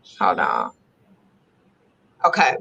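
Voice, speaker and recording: At a fairly slow pace, someone talks with an American accent. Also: woman. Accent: Chicago accent with a country, southern twang. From Chicago. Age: 40s. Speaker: holistic lifestyle entrepreneur. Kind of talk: casual live-stream interview chat. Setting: live stream on social media.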